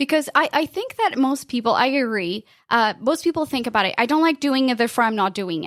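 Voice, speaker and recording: With a Portuguese accent, a woman talks at a fairly quick pace with hardly any pauses, a high pitch and lively intonation. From Portugal. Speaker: podcast consultant. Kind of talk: interview.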